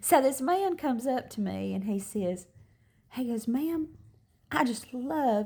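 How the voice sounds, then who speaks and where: A woman's somewhat breathy, dark and mellow voice, fairly high in pitch with very wide pitch swings. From US South. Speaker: motivational social media creator. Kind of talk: motivational talk to camera. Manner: casual, conversational.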